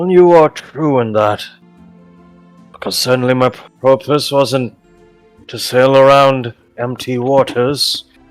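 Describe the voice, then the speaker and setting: A man doing a put-on character voice at medium pitch, fairly slow, with long, frequent pauses and faint music in the background. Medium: actual play. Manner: formal, grave.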